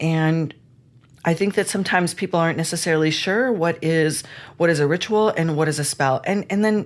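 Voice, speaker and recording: A woman with a fairly low voice and ordinary pitch variation talks at a fairly quick pace. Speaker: spiritual teacher and podcast host. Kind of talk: live online class. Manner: fast.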